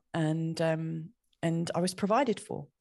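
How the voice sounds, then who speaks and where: A woman speaks with a southern English accent at a fairly slow pace. The background is quiet. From southeast England. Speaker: astrologer. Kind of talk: casual chat.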